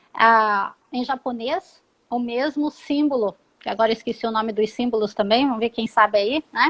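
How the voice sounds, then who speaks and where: A woman's ordinary speaking voice, fairly high in pitch with ordinary pitch variation, at a moderate pace. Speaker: psychologist and career advisor. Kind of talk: live interview, career advice. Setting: live stream. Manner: instructive, explanatory.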